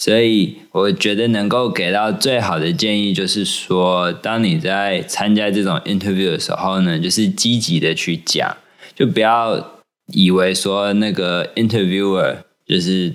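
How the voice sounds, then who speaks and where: A man with a plain, everyday voice talks at a fairly slow pace, fairly low in pitch, with ordinary pitch variation. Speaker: podcast co-host. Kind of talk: casual chat.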